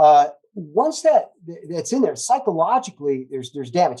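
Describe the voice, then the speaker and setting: Fairly high in pitch yet dark and mellow in tone, a man talks at a fairly quick pace with very wide pitch swings. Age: 60s. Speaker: former preacher, cannabis advocate. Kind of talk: interview. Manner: halting.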